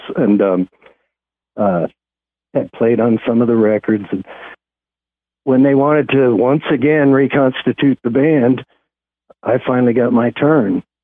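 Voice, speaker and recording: At a fairly slow pace, a man speaks at a medium pitch with ordinary pitch variation. His loudness stays very even, broken by long, frequent pauses. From Kansas. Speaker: musician, lead singer of a band. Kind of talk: radio interview. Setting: phone call. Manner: hesitant, many fillers.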